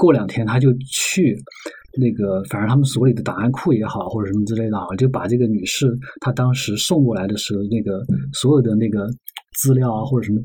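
Audible room echo surrounds a man speaking at a fairly quick pace, his medium pitch varying in an ordinary way. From Sichuan. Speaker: magazine journalist. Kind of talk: podcast interview conversation.

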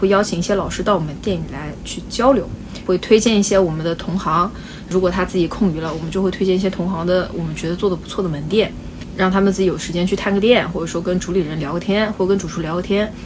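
A woman speaks very fast at a medium pitch, her intonation fairly even. The room echo is audible and the background noise is noticeable. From China, Wenzhou. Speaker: bakery owner. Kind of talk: casual interview. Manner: talkative.

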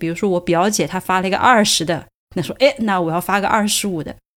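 In a very clean recording with a silent background, a woman with a medium pitch and an unremarkable speaking voice talks at a fairly quick pace. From Sichuan, China. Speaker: podcast host. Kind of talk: casual chat.

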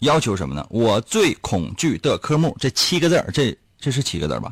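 Speaking at a moderate pace, a man with a medium pitch, vocal fry and very wide pitch swings comes through a dry, close sound with no echo on a very clean recording with a silent background. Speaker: radio host. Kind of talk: casual chat. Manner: animated.

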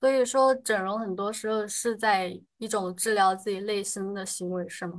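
Over a quiet background, a woman uses an unremarkable speaking voice at a medium pitch, talking at a moderate pace with fairly even intonation. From Sichuan, China. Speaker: podcast co-host. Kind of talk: casual group chat.

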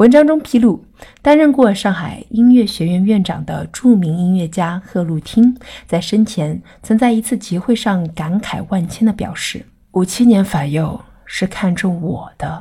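At a fairly slow pace, a woman with a medium pitch talks in a dark, mellow, somewhat breathy tone with lively intonation. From Shanghai. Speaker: podcast guest presenter. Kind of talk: scripted narration.

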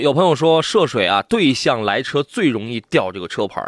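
Dry and close with no echo, a man's voice comes through at a fairly high pitch. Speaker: radio host, car show. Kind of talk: live radio call-in chat. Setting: radio studio. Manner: animated, humorous, fast talker.

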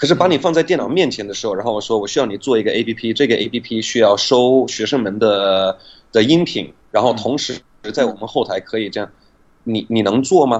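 A man's medium-pitched voice with a slight non-native accent, ordinary pitch variation, and a fairly quick pace. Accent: near-native Mandarin. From United States. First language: English (speaking Chinese). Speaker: English pronunciation teacher. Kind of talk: interview about language learning.

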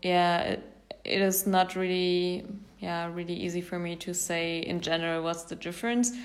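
A woman with a German accent speaks at a moderate pace in a fairly low pitch with monotone, flat intonation, and the room echo is audible. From Germany. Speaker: traveler. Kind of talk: interview. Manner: hesitant, many fillers.

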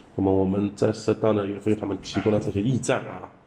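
A man's fairly low-pitched voice. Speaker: sanitation department manager. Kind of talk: interview.

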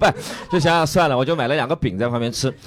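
A man races along at a very fast pace against noticeable background noise. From Shanghai, China. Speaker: stand-up comedian. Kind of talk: casual chat; stand-up.

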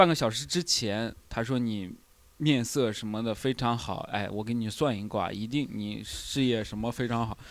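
A plain, everyday voice from a man, medium in pitch, with ordinary pitch variation and a moderate pace, on a very clean recording with a silent background. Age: 20s. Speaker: stand-up comedian and podcast host. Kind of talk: casual chat. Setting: live recording with small audience.

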